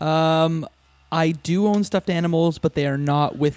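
Speaking with a Canadian accent, a man has a plain, everyday voice, ordinary pitch variation and a moderate pace. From Canada, Windsor, Ontario. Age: 30s. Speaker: podcaster. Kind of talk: casual chat.

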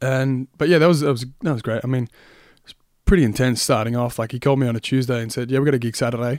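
With an Australian accent, a man talks at a very fast pace in a medium pitch with fairly even intonation. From Australia, Melbourne area. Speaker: singer and guitarist. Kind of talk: casual chat.

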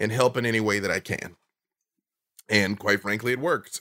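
Energetic in tone, a man speaks. The sound is dry and close with no echo, on a very clean recording with a silent background. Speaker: game show performer and comic writer. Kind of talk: casual interview.

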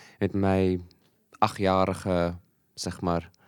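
A man's very deep, low voice, monotone and flat, on a very clean recording with a silent background. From Malawi, South African parents. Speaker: lecturer and food security project developer. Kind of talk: casual interview. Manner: halting, many fillers and repeats.

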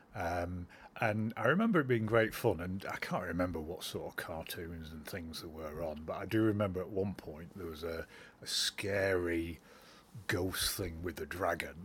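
On a very clean recording with a silent background, a man with a very deep, low pitch speaks at a moderate pace, somewhat breathy, with ordinary pitch variation. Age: 50s. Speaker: interviewee, hospital patient. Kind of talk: recorded interview, reminiscence.

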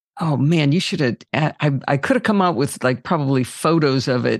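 A woman talks at a moderate pace with ordinary pitch variation. Her pitch is very deep and low. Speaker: podcaster. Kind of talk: casual chat.

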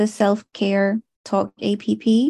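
A woman speaks in a fairly high, somewhat breathy voice. The sound is dry and close with no echo, over a quiet background. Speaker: body piercer. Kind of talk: casual chat. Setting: video call.

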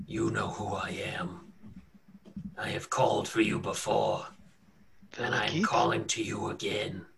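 A man puts on a raspy, menacing character voice. He goes at a moderate pace with long, frequent pauses. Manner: commanding, menacing.

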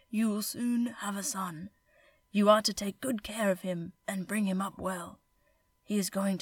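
Someone does a put-on character voice, fairly high in pitch, at a moderate pace. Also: female-sounding voice.

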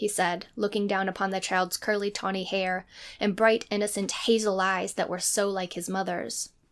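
What we hear is someone doing plain reading aloud.

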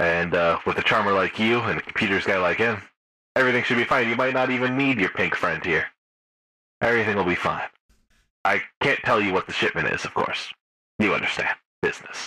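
A man does a put-on, robotic character voice at a medium pitch. He moves at a fairly quick pace but leaves long, frequent pauses. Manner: slick, pushy, crude.

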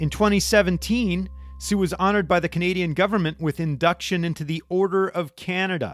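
A man with an American accent speaks at a high pitch and a fairly quick pace. His intonation stays fairly even as music plays in the background. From United States. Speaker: podcast host. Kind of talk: interview conversation.

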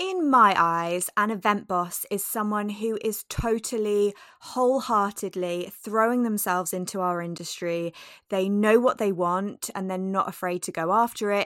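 A woman speaks at a moderate pace with a medium pitch. Her intonation is fairly even. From UK. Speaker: podcast co-host. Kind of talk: casual chat.

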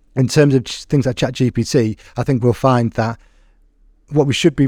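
Over a silent background on a very clean recording, a man's medium-pitched voice has a dark, mellow tone and ordinary pitch variation, with a dry, close sound and no echo. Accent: English. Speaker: podcast host and teacher. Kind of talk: casual interview chat.

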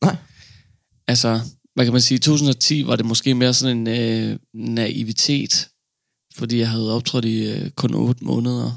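The speaker is a man with a medium pitch and an ordinary speaking voice. He talks at a fairly slow pace. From Denmark, Funen. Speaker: stand-up comedian. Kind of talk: interview. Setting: studio.

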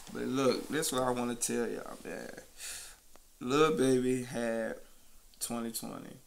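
A man talks at a fairly slow pace, leaving long, frequent pauses. The room echo is audible. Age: 20s. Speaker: podcast host. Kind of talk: casual chat.

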